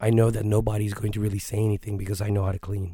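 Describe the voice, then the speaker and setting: A man speaks at a very fast pace in a fairly low, dark, mellow, somewhat breathy voice with monotone, flat intonation. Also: very clean recording, silent background. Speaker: martial arts instructor and podcast host. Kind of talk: casual monologue.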